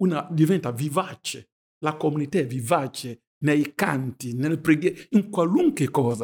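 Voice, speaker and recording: In a dry, close recording with no echo, a man with a fairly high, somewhat breathy voice talks at a fairly slow pace with ordinary pitch variation. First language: not Italian (speaking Italian). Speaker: pastor. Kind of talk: religious discussion.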